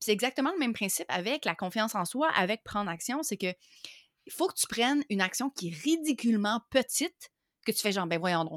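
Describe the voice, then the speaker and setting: Over a silent background in a very clean recording, a woman with a fairly high voice talks at a fairly quick pace, her pitch swinging very widely. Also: dry, close sound with no echo. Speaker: online entrepreneur. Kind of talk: interview.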